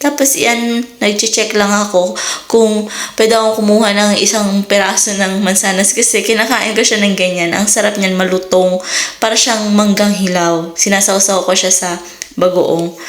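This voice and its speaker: A moderate pace with very even loudness and fairly even intonation, amid audible room echo and noticeable background noise. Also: woman, medium pitch for a woman. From Philippines. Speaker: vlogger. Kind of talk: casual vlog narration. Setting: home garden.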